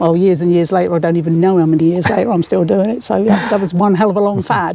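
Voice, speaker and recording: With noticeable background noise behind her, a woman with an English accent talks at a very fast pace, her pitch fairly low and her loudness very even. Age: 60s. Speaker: motorcyclist and taxi driver. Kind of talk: interview. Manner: animated.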